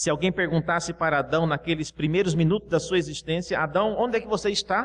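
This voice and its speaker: Speaking fairly quickly with hardly any pauses, a man keeps a very even loudness at a high pitch with ordinary pitch variation. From Brazil, Cuiabá. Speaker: pastor. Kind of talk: sermon.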